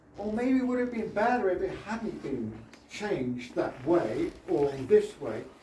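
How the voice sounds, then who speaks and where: Over noticeable background noise and audible room echo, a man speaks at a moderate pace with very wide pitch swings. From Britain. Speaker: artist. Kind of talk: exhibition opening speech. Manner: halting.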